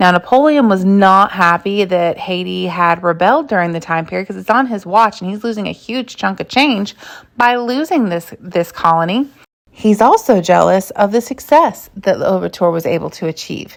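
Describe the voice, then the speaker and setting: This woman has a normal speaking voice and lively intonation. She talks at a moderate pace. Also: medium pitch for a woman. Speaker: history content creator. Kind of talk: educational monologue. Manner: casual with fillers.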